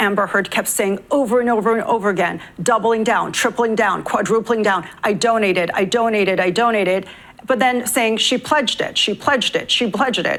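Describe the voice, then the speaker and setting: A woman's fairly high voice, very even in loudness, with ordinary pitch variation and a fairly quick pace. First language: not English. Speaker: legal commentator. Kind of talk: tv panel discussion.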